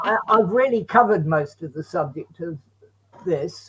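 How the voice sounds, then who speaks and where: Speaking with an English accent, a man uses a high pitch, a fairly slow pace and lively intonation. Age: 80s+. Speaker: bereaved father and campaigner. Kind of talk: interview.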